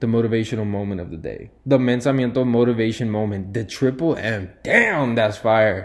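A man with a normal speaking voice talks at a moderate pace and medium pitch. He shows ordinary pitch variation and hardly any pauses. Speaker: podcast host. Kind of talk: casual chat.

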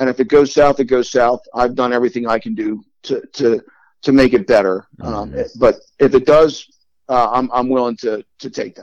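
Speaking at a fairly quick pace with an American accent, a man has an unremarkable speaking voice, medium pitch and ordinary pitch variation, recorded dry and close with no echo. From Long Island, New York, then Delaware. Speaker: adoptee. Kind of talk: personal storytelling interview.

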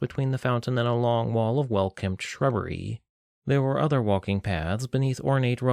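Over a quiet background comes plain reading aloud with ordinary pitch variation.

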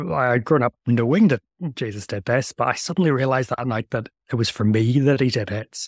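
A man with a Northern Irish accent, medium pitch and ordinary pitch variation, in a very clean recording with a silent background and a dry, close sound with no echo. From Northern Ireland. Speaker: theologian. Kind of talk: interview.

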